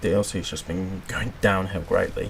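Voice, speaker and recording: A man with a British accent, over noticeable background noise. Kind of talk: casual gameplay commentary.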